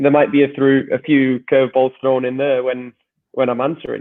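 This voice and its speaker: Speaking with an English accent, a man talks at a fairly quick pace in a fairly high pitch. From northern England, Wigan. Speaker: soccer coach and podcaster. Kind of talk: interview conversation. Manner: halting.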